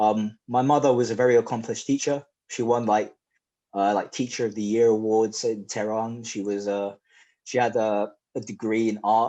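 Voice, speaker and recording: Against a quiet background, a man with medium pitch and a dark, mellow tone speaks at a moderate pace in a monotone, flat intonation. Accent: English. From England, raised in Oxford area. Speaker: powerlifting champion and personal trainer. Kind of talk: podcast interview. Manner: casual, with filler words.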